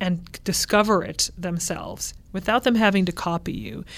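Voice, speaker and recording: Speaking at a fairly slow pace, a woman with an American accent uses an unremarkable speaking voice at medium pitch with ordinary pitch variation. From California. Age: 40s. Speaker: opera singer. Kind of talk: interview.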